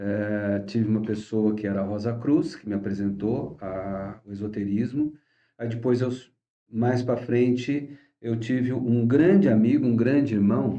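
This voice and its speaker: A man's medium-pitched voice varies in an ordinary way as he talks fairly slowly. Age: 60s. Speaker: astrology teacher. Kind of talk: course introduction talk. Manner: casual, halting with fillers.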